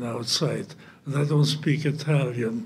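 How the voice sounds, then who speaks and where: In a German accent, a man speaks at a fairly slow pace and a fairly high pitch. His voice is somewhat breathy. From central Germany. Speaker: Holocaust survivor. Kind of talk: testimony. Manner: halting.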